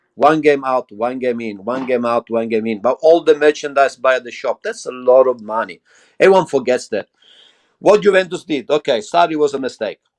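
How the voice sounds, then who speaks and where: Speaking with an Italian accent, this voice sounds animated, with lively intonation and a fairly quick pace, recorded dry and close with no echo against a quiet background. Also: man, medium pitch for a man. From Italy. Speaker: football fan pundit. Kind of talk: casual debate. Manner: halting.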